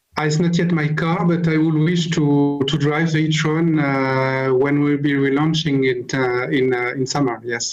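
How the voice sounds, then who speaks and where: A strong French accent at a moderate pace, with fairly even intonation and very even loudness, over music in the background. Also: man. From France. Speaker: car company manager. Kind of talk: interview. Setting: video call. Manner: halting.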